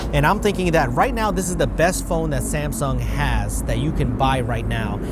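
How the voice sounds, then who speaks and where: Room echo is audible, and noticeable noise runs in the background. A man talks through it at a moderate speed. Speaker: tech YouTuber. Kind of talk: product review vlog.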